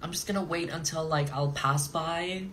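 With ordinary pitch variation and a moderate pace, a man talks against noticeable background noise. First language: French. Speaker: drag queen reality TV contestant. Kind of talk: casual chat on Instagram live, answering viewers. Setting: Instagram live video stream. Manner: animated, sassy, playful. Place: home room. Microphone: phone near.

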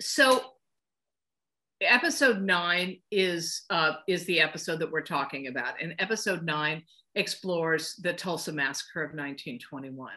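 With an American accent, a woman speaks at a fairly slow pace in a fairly low pitch, her tone bright and sharp. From US West Coast (Los Angeles). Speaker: film composer. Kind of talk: interview. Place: home room. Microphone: webcam.

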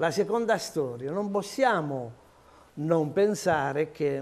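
Lively intonation runs through this man's speech. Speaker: majority city councillor. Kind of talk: political debate. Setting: TV studio. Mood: indignant, critical. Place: studio.

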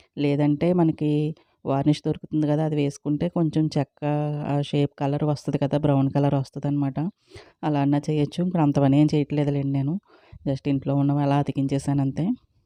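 A woman speaks in a very deep, low pitch with a dark, mellow tone. Her intonation is monotone and flat. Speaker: homemaker vlogger. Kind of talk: casual vlog chat. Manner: halting.

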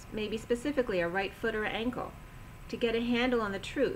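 Light noise sits behind a woman as she talks. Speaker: tarot or intuitive reader. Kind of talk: intuitive reading monologue. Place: home room. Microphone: webcam.

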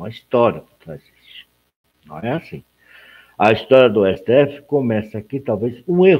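At a fairly slow pace with long, frequent pauses, a man of medium pitch speaks with very wide pitch swings and big swings in loudness. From Brazil. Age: 50s. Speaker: political news blogger. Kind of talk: live stream commentary. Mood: critical, indignant. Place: home room. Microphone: webcam.

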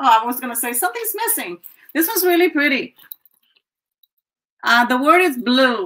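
Against a quiet background, a woman with a high pitch and a bright, sharp tone talks at a moderate pace, swinging very widely in pitch and taking long, frequent pauses. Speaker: online seller hosting live sales. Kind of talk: live sale stream. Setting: livestream. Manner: casual, chatty. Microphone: webcam.

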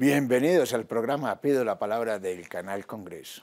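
The speaker is a man talking at a moderate pace. His intonation is lively. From Colombia. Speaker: TV show host. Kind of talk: interview show. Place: studio. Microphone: lapel.

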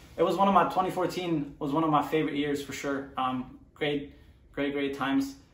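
Audible room echo, fairly even intonation and a moderate pace. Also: man, fairly high pitch for a man. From Germany, Mönchengladbach. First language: German. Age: 20s. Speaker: professional soccer player. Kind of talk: personal story monologue. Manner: halting, many fillers.

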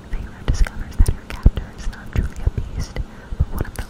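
At a moderate pace, a woman talks in a whisper. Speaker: book video creator. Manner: close whispered reading aloud. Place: home room. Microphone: studio mic.

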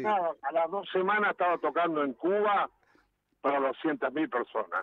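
Speaking with a Uruguayan accent, a high-pitched man keeps a very even loudness and ordinary pitch variation in a dry sound with no echo. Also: moderate pace. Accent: Uruguayan Rioplatense Spanish. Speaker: musician. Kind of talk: interview answer. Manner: casual, lively storytelling. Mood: humorous, joking. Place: studio.

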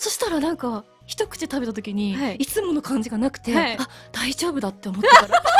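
A woman talks at a fairly quick pace with clear music playing in the background. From Hokkaido. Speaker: voice actor. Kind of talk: web radio talk show. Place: studio.

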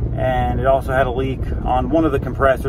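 Against noticeable background noise, a man talks at a moderate pace in a dry sound with no echo. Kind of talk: casual vlog chat. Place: car. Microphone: phone near.

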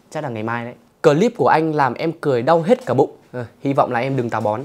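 A man speaking at a very fast pace. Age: 20s. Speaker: YouTuber and comedy creator, drama student; YouTuber answering viewer questions. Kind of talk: casual Q&A video. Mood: playful, joking. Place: home room. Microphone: lapel.

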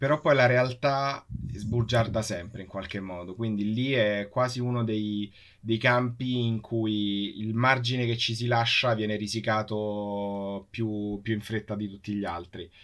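This man has a normal speaking voice, fairly low in pitch, with fairly even intonation and a fairly slow pace. The recording is very clean, with a silent background. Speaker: space engineer co-host. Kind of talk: live interview. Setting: live stream.

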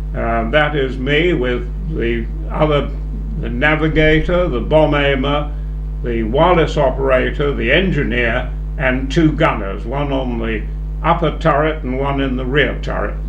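A man talks at a fairly slow pace while noticeable background noise is present. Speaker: war veteran. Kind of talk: elderly airman recounting wartime memories to students, reflective interview answers. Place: meeting room. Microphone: handheld.

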